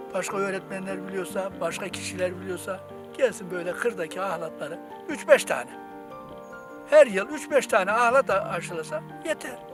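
A man at a moderate pace with music playing behind him. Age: 60s. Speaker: retired teacher who grafts wild fruit trees. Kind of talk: casual talk and demonstration outdoors. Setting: outdoors.

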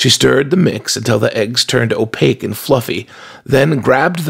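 This is an unforced reading voice. It carries through the clip.

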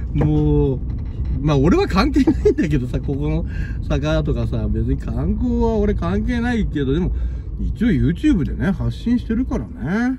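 There is noticeable noise in the background. The sound is dry with no echo, and the pace is fairly slow. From Shizuoka, Japan. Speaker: video blogger filming city walk. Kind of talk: casual walking vlog narration. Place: car. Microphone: phone near.

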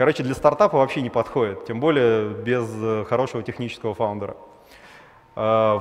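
The pace here is moderate. A man does the talking. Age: 30s. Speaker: startup founder, former realtor; conference speaker. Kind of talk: conference talk; conference talk, storytelling. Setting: stage with audience. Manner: animated; casual, filler-heavy. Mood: wry, self-deprecating storytelling. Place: hall. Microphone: headset.

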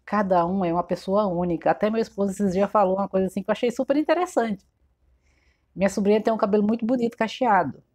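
A woman's speech races along very fast, with a quiet background behind it. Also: ordinary pitch variation. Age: 40s. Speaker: shop owner and fashion vlogger; fashion vlogger. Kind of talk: casual tutorial vlog. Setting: in her shop. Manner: chatty, informal. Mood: warm, encouraging. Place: shop. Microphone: phone near.

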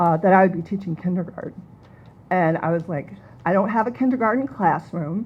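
A woman with an American accent speaks at a fairly quick pace and a medium pitch, somewhat breathy and with ordinary pitch variation. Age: 60s. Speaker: kindergarten teacher. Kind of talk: public comment. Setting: public meeting.

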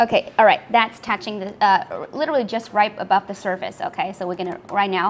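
Over light background noise, a woman talks at a fairly quick pace in an animated, cheerful tone with ordinary pitch variation. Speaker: livestream host demonstrating laser products. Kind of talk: livestream product demo and sales pitch. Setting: online livestream. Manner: animated, cheerful, laughs often. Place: workshop. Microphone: lapel.

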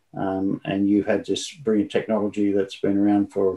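Dark, mellow tone from a man at a fairly low pitch, against a quiet background. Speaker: remote guest. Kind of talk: interview answer. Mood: warm, smiling, reflective. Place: home room.

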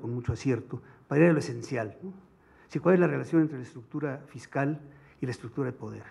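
A man with a Mexican accent sounds somewhat breathy, his pitch varying in an ordinary way. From Mexico. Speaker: economics commentator. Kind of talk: academic seminar. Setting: seminar room with audience. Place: hall. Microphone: podium.

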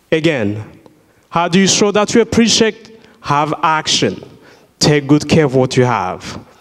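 A man speaks at a fairly slow pace with very wide pitch swings. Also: quiet background. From Burundi. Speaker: surgical worker and invited speaker; speaker. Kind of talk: inspirational talk to school students. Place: church. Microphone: handheld.

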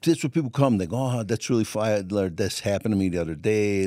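Over a quiet background, a man with a Brooklyn accent speaks at a fairly low pitch with a dark, mellow tone, in a dry sound with no echo. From New York. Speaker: stand-up comedian. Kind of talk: interview answer. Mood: relaxed, joking storytelling. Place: studio. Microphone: studio mic.

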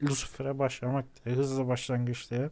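A man talks with a fairly high pitch. The background is silent and the recording very clean. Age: 30s. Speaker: gaming YouTuber. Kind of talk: gameplay commentary.

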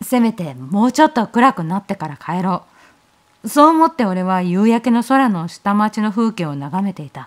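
This woman's voice sits at a medium pitch, with very wide pitch swings and big swings in loudness at a moderate pace. The recording is very clean, with a silent background. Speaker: horror story narrator. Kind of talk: horror story reading.

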